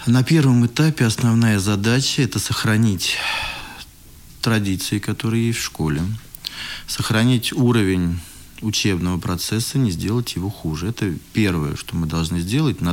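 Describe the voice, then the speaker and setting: A man's fairly low voice with lively intonation and long, frequent pauses, set against noticeable background noise. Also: moderate pace. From Moscow, Russia. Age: 30s. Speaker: school director. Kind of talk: interview.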